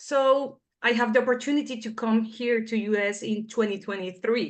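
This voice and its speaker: At a fairly slow pace, a woman with a Spanish accent speaks in a high pitch over a quiet background. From Venezuela. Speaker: foreign-trained dentist. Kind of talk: interview.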